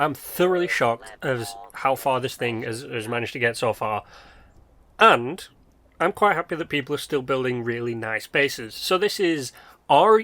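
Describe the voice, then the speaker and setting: Lively in intonation, a man with a British accent speaks in a very clean recording with a silent background. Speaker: gaming youtuber. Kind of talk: casual commentary.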